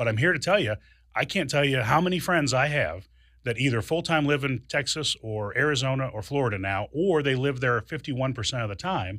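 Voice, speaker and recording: Over a very clean recording with a silent background, a man with an American accent speaks at a medium pitch in a bright, sharp tone with lively intonation. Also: moderate pace. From Springfield, Illinois. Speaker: political candidate. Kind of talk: radio interview. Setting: studio.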